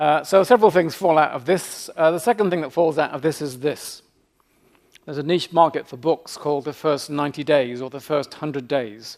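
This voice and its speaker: In a British accent, the speaker goes at a fairly quick pace with big swings in loudness. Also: man, fairly high pitch for a man. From Britain. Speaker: leadership professor. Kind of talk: keynote lecture. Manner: fast; humorous deadpan asides.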